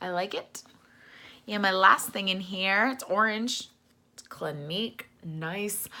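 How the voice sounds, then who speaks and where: A woman of medium pitch speaks fairly slowly in a bright, sharp tone. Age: 30s. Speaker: beauty vlogger. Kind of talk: product unboxing vlog. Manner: casual, hesitant with fillers.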